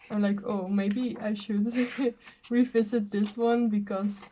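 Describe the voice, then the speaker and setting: A somewhat breathy voice with a dark, mellow tone at a very slow pace. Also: woman. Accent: non-native. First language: not English. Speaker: journaller. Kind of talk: casual talk to camera. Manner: hesitant, awkward.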